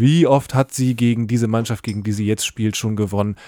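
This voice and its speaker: A man speaks at a medium pitch with a dark, mellow tone and fairly even intonation. The sound is dry and close with no echo, and the recording is very clean over a silent background. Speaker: podcast co-host. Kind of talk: casual chat. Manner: hesitant, many filler sounds.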